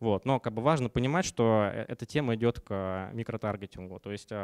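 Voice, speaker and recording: Against a quiet background, a man speaks at a moderate pace. His pitch varies in an ordinary way. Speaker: company founder; conference speaker. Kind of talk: conference talk. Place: meeting room. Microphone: handheld.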